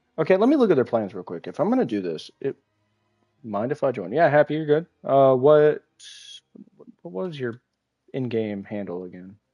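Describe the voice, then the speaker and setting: A man with a medium pitch and very wide pitch swings speaks at a moderate pace, with long, frequent pauses and big swings in loudness, in a dry, close sound with no echo and music in the background. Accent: American. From United States. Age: 20s. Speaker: gaming streamer. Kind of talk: live gameplay stream chat.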